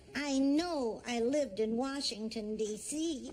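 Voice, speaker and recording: Using a put-on character voice, a woman speaks at a high pitch with ordinary pitch variation. Her pace is fairly slow. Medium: short film. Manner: wandering, uncertain.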